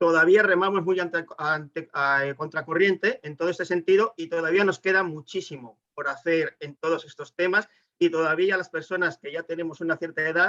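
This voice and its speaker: Recorded dry and close with no echo, a man with a Spanish accent speaks at a moderate pace with hardly any pauses, his high, bright, sharp voice held to fairly even intonation. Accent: Spanish (Spain). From Spain. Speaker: webinar participant. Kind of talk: audience question in webinar.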